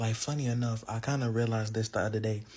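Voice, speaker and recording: With an American accent, a man speaks at a medium pitch in a dark, mellow, somewhat breathy tone with fairly even intonation. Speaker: content creator. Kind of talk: casual monologue to camera. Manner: casual, filler-heavy.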